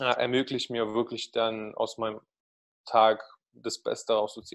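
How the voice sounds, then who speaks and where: In a Russian accent, a man talks at a fairly slow pace against a quiet background. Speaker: marketing agency founder; guest. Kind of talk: podcast interview. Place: home room. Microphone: video call.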